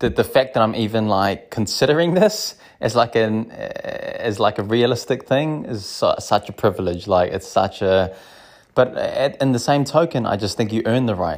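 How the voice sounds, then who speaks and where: A man with a New Zealand accent at a moderate pace, on a very clean recording with a silent background. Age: 30s. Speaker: small business owner. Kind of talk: casual monologue. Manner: animated.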